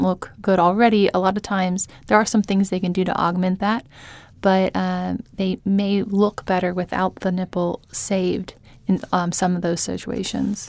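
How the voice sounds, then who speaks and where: Flat, monotone intonation comes with an American accent at a moderate pace, on a very clean recording with a silent background. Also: woman. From Oklahoma (Tulsa). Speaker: breast surgeon. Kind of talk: interview. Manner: hesitant with many ums.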